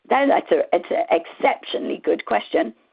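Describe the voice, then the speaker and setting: A squeaky woman's voice at a fairly quick pace. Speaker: marketing analytics expert. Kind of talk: conference presentation with Q&A. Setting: virtual conference.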